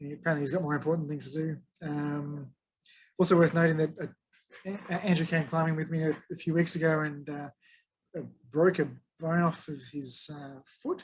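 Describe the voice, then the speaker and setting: With long, frequent pauses, a man speaks in a fairly high pitch with monotone, flat intonation. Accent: Australian. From Australia. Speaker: tech meetup presenter. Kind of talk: presentation to a meetup. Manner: fast; casual, hesitant with fillers.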